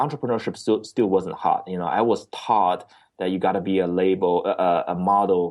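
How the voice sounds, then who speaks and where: Here a man speaks with a Chinese accent. His pitch is fairly low. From China (Beijing). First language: Mandarin Chinese. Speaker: entrepreneur. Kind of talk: interview. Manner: halting, with repeated words.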